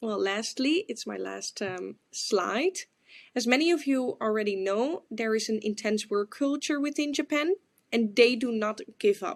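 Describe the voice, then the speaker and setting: A woman in a Dutch accent, fairly high in pitch and fairly slow, with lively intonation and a dry, close sound with no echo. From Netherlands. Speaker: exchange student. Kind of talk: class presentation. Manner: hesitant, with filler words.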